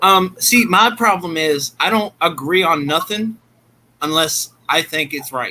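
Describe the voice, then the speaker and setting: A man with an American accent speaks at a fairly slow pace, his pitch high for a man, with ordinary pitch variation. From northern US. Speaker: pet keeper in group livestream. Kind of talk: casual chat.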